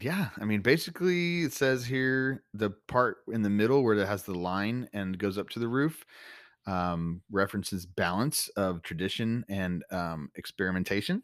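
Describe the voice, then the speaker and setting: A man with a slight Texan accent, fairly low-pitched, lively in intonation, at a moderate pace, on a very clean recording with a silent background. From Texas. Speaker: podcast host. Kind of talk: casual chat between co-hosts.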